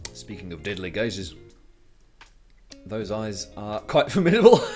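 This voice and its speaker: Music plays in the background as a man with a British accent speaks at a moderate pace. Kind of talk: casual livestream talk to viewers. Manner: calm, chill, relaxed.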